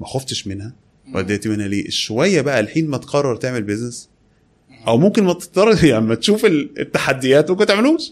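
Over a quiet background, a man speaks at a fairly quick pace, his fairly high pitch swinging very widely. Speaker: e-commerce entrepreneur. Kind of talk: interview.

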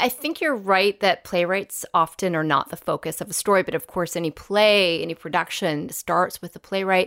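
Very clean and dry, the recording has a silent background and a close sound with no echo. A woman speaks at medium pitch in a normal speaking voice at a moderate pace. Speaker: podcast host. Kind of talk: hosting, interview questions. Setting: live audience.

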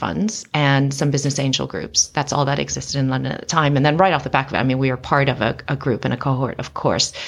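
A woman's very deep, low voice at a very fast pace, with fairly even intonation. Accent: American. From US Midwest, Chicago. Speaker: venture capital investor. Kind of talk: interview conversation. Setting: studio.

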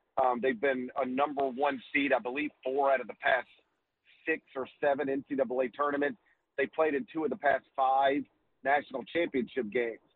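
A man's normal speaking voice, fairly high in pitch, with ordinary pitch variation at a moderate pace. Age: 40s. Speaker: college basketball writer. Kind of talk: radio interview.

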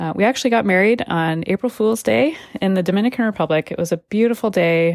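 A woman in a plain, everyday voice with lively intonation, at a fairly quick pace, on a very clean recording with a silent background. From California, moved often. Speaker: podcast host and life coach. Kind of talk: personal testimony. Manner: casual, conversational with many fillers.

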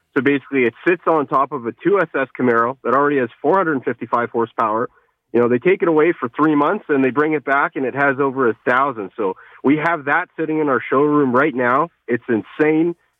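An unremarkable speaking voice from a man with a Canadian accent, fairly high in pitch, at a fairly quick pace with ordinary pitch variation. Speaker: car dealership representative. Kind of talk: radio interview. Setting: phone call.

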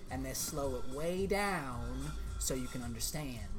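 With music in the background, a man puts on a drawling character voice in a Tennessee accent at a moderate pace. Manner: slow drawl.

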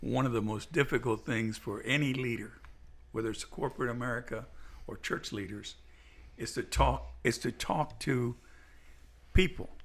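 Long, frequent pauses break up this man's moderate pace, his medium-pitched voice showing vocal fry and ordinary pitch variation. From Cuba, raised Miami. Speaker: pastor. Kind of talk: casual chat.

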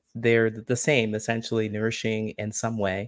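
With an American accent, a man uses a normal speaking voice at a medium pitch with fairly even intonation, the sound dry and close with no echo on a very clean recording with a silent background. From small-town Ohio, US Midwest. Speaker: social connection coach. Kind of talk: interview.

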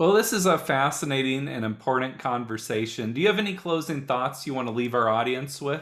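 Here is a plain, everyday voice with an American accent and lively intonation. It moves at a fairly quick pace with hardly any pauses. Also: man, medium pitch for a man. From Indiana, US. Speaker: podcast host, youth worker. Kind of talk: interview.

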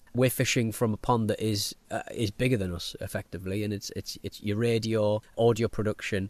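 A man with a fairly low pitch speaks at a fairly quick pace, the sound dry and close with no echo and a quiet background. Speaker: podcast producer and radio presenter. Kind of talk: casual interview chat. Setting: home cabin recording. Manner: fast, excitable talker.

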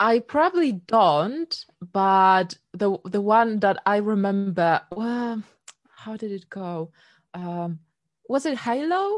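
A woman with a Polish accent, medium pitch, lively intonation, big swings in loudness and a very slow pace. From Poland. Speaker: singer-songwriter. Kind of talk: casual interview chat.

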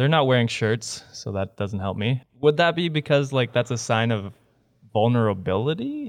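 Here is a man with an unremarkable speaking voice at a medium pitch. He keeps a moderate pace and ordinary pitch variation. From Canada. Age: 20s. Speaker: podcast host. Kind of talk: casual chat.

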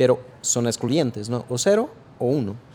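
A man talks in a Brazilian accent with a dark, mellow tone. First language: Portuguese (speaking Spanish). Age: 40s. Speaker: artificial intelligence expert. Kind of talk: interview. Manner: halting, many fillers and repetitions.

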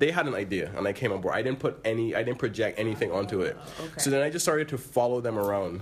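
Against noticeable background noise, a man talks at a very fast pace in a medium pitch with lively intonation. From Barbados. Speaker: filmmaker. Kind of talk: casual interview.

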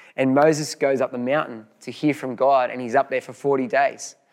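The speaker has an Australian accent and talks at a moderate pace with fairly even intonation. The recording is very clean, with a silent background. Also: man. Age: 40s. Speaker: pastor. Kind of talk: sermon. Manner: halting, frequent repetitions.

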